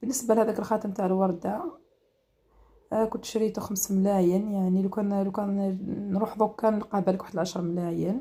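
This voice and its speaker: A woman speaks at a fairly quick pace in an Algerian accent, her medium-pitched voice dark, mellow and somewhat breathy. Her intonation stays fairly even. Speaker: home cooking and lifestyle vlogger. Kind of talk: casual vlog.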